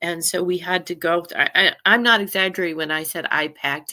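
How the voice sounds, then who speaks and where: Her voice sits at a medium pitch with a bright, sharp tone. The recording is very clean, with a silent background. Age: 60s. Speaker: astrology and energy co-host. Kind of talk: casual chat. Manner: halting, many restarts.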